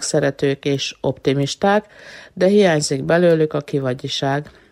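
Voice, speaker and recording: In a dry, close sound with no echo, a woman speaks at a moderate pace in a very deep, low voice with ordinary pitch variation. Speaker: essayist. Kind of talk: reading aloud.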